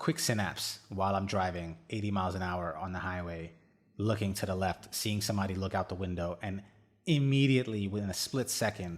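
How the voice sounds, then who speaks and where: With ordinary pitch variation, a man talks fairly quickly in a fairly low register. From India, moved to US at about 12. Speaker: podcast host. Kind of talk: personal monologue.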